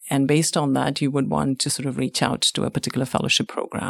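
Vocal fry runs through a woman's voice in a very clean recording, dry and close with no echo and a silent background. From India. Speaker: radiologist and fellowship program director. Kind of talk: interview.

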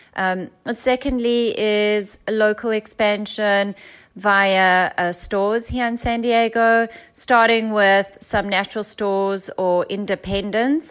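With a South African accent, a woman speaks at a very slow pace. Her pitch is fairly high and her intonation fairly even. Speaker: founder of a plant-milk company. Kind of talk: casual interview.

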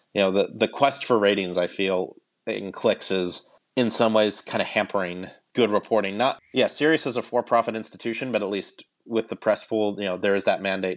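A man at a fairly quick pace, fairly low in pitch, with fairly even intonation and a quiet background. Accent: Midwestern. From Cleveland, Ohio, US Midwest. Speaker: radio producer. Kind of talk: casual interview.

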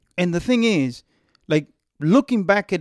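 On a very clean recording with a silent background, a man with a non-native accent speaks at a moderate pace in a dry, close sound with no echo. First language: not English. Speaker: radio co-host. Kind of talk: casual chat.

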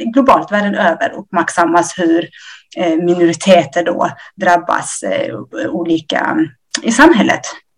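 A woman with an ordinary speaking voice, fairly low in pitch, with ordinary pitch variation at a moderate pace. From Ethiopia. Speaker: nurse. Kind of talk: interview. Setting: remote link.

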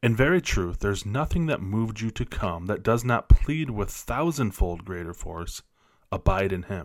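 On a very clean recording with a silent background, a man in an ordinary speaking voice talks at a fairly low pitch and moderate pace, with lively intonation and big swings in loudness. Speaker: missionary podcaster and Bible teacher. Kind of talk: reading aloud from a devotional book. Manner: earnest, measured, prayerful.

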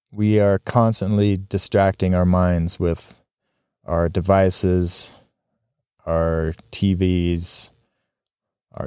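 With a Western US accent, a man speaks in a very deep, low voice of dark, mellow tone and flat, monotone intonation, in a dry, close sound with no echo on a very clean recording with a silent background. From Utah. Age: 40s. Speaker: podcast host. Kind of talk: solo podcast monologue. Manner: casual, with filler ums and restarts.

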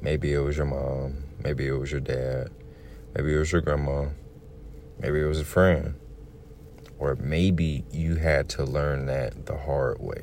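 With a very deep, low pitch and monotone, flat intonation, a man talks at a fairly slow pace with long, frequent pauses. Noticeable background noise and audible room echo fill the recording. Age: 20s. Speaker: podcaster and bus driver. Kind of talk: solo podcast monologue. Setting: in a car.

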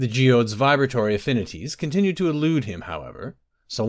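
The voice is an unforced reading voice with lively intonation. The background is quiet.

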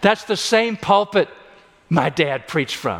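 A man with an American accent speaks in a high voice. Noticeable background noise is present. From US Midwest, Illinois. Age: 60s. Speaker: pastor. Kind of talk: sermon. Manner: animated.

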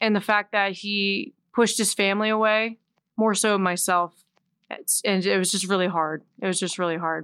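In a dry, close sound with no echo, a woman with an American accent and a plain, everyday voice speaks at a medium pitch with fairly even intonation. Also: moderate pace. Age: 20s. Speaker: musician. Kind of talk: casual chat.

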